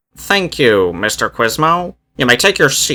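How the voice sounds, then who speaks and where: A man performs a put-on character voice at a fairly high pitch. He speaks at a fairly slow pace with very wide pitch swings. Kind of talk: courtroom speech. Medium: read story.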